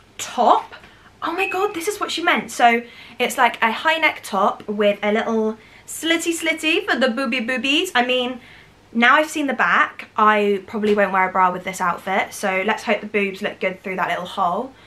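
Her pitch swinging very widely, a woman talks at a moderate pace. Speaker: fashion vlogger. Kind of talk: casual vlog chat. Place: home room. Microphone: phone near.

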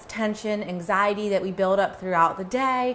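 A woman speaks over light background noise. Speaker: yoga instructor. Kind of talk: guided yoga instruction. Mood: calm, soothing, gentle. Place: home room.

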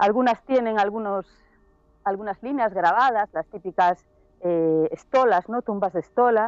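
A woman's unremarkable speaking voice, medium in pitch with ordinary pitch variation, at a fairly slow pace, dry with no echo over a quiet background. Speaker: field reporter. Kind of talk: on-location report. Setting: outdoors, remote video link. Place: open country. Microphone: earbuds.

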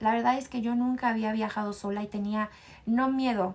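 Speaking at a fairly quick pace, a woman has a fairly high pitch, a slightly mellow tone and fairly even intonation.

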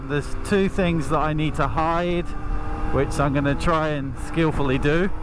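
A man speaks with ordinary pitch variation. The sound is dry with no echo, though noticeable background noise is present. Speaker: motovlogger rider. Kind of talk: casual vlog chat. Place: motorbike.

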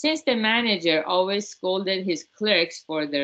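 Quiet surroundings and a natural reading voice

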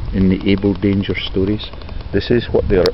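Loud background noise surrounds a man speaking at a moderate pace with ordinary pitch variation, in a dry sound with no echo. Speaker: video blogger. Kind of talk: casual vlog commentary on images. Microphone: phone near.

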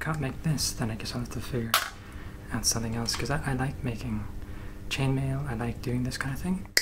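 A man amid loud background noise. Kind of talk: casual vlog chat. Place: workshop.

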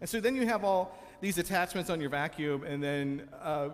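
A man's voice with lively intonation. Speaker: minister. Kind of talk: sermon. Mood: light, humorous. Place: church.

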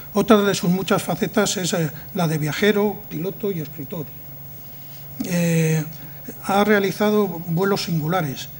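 The man's pitch is high, with ordinary variation. Light background noise can be heard. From Zamora, Spain. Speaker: event moderator. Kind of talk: formal introduction and moderation. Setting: stage with audience. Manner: halting. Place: hall. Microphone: podium.

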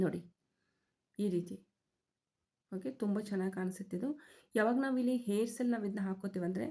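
A woman speaks at a medium pitch with ordinary pitch variation. Her somewhat breathy voice has a dark, mellow tone. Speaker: tailoring and small-business YouTuber. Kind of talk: tutorial.

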